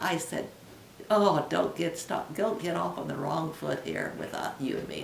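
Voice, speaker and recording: A woman speaks with an American accent against noticeable background noise. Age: 80s+. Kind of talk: interview answer.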